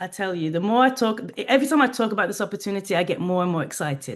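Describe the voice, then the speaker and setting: Very fast speech in an English accent, with lively intonation. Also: woman. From England. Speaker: HR professional and travel business owner. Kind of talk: interview.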